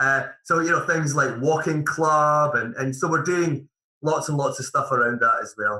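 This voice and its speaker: A bright, sharp, fairly high male voice in a Scottish accent, with ordinary pitch variation and a moderate pace. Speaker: managing director of a mortgage advice firm. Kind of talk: podcast interview. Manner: halting, repeats words.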